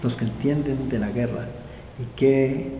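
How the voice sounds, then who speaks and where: A man's voice with audible room echo. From southern Colombia (Nariño). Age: 80s+. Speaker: war veteran. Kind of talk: oral history interview. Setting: indoors at veterans' association office. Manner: halting, repeats words.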